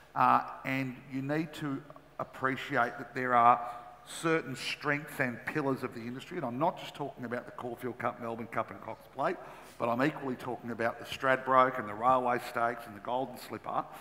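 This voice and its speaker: In an Australian accent, a man talks at a moderate pace and a medium pitch. His intonation is fairly even, while his loudness swings a lot. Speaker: former racing minister. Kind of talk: panel discussion. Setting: conference stage with audience. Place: stage. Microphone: headset.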